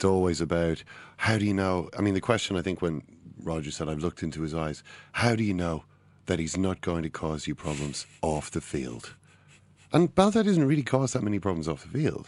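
An Irish accent from a man with a very deep, low pitch, lively intonation, and a fairly quick pace against a quiet background. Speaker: football podcast co-host. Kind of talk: casual chat. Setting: studio.

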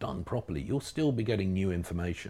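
A man with a southern English accent and vocal fry. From southern England, East Berkshire. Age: 50s. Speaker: classic car magazine editor. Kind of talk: casual interview. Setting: studio.

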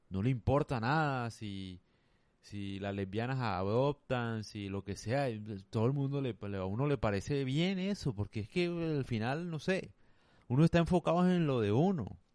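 This is an unremarkable speaking voice with lively intonation. The background is quiet. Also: man. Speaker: podcaster. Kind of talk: casual solo monologue.

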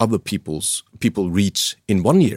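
A man with a Norwegian accent and ordinary pitch variation. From Norway. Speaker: professional climber and mountain guide. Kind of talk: interview. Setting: studio.

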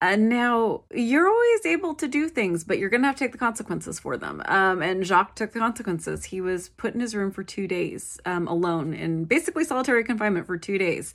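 A woman with a relaxed tone and fairly high pitch talks at a fairly quick pace with hardly any pauses. Her pitch makes very wide swings. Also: very clean recording, silent background. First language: English; self-described poor French pronunciation. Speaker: solo history podcast host. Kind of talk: casual solo narration. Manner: frequent fillers, relaxed.

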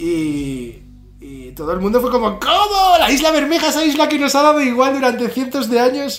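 With a Spanish accent and lively intonation, a man speaks amid noticeable background noise and audible room echo. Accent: Spanish (Spain). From northern Spain, Pamplona. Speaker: visual artist. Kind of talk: casual interview. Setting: video call.

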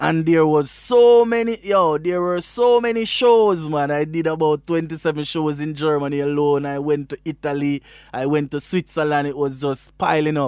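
At a moderate pace and with hardly any pauses, a man speaks with a fairly high pitch and ordinary pitch variation. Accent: Jamaican. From Jamaica, Westmoreland. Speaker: reggae artist. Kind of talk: casual interview.

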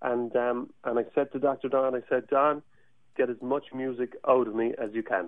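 This is a man speaking in a Cork accent. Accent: Irish (Cork). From Ireland, Cork. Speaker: Irish musician. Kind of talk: radio interview. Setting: studio. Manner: animated.

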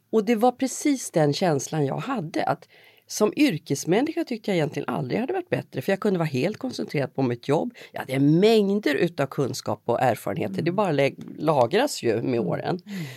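A woman's fairly low, dark, mellow voice with vocal fry, very wide pitch swings and hardly any pauses. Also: fairly quick pace, dry, close sound with no echo, very clean recording, silent background. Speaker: journalist and podcast host. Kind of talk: interview conversation.

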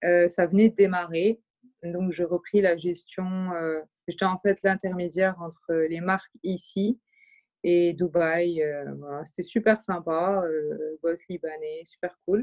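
A woman with a fairly low pitch speaks at a very slow pace, her intonation fairly even. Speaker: artistic director and fashion brand founder. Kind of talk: casual chat. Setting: remote recording.

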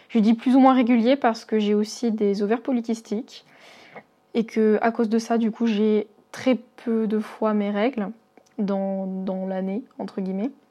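Her voice is fairly high and has a dark, mellow tone, and the woman speaks in a monotone, flat intonation. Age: 20s. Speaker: listener sharing health story. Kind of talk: testimony. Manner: halting.

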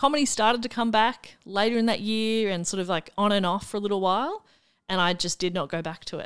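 Speaking very fast with an Australian accent, a woman uses ordinary pitch variation. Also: medium pitch for a woman, very clean recording, silent background. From Melbourne, Australia. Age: 30s. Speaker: comedian and radio broadcaster. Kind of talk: casual interview chat.

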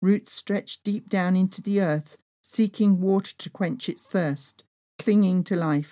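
Reading aloud in a natural voice with ordinary pitch variation against a quiet background.

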